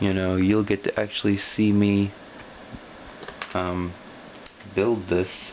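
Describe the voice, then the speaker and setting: A man talks in a very deep, low pitch at a very slow pace. His intonation is monotone and flat, with noticeable background noise. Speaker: YouTuber building model kits. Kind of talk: casual build commentary. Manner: mumbling at times.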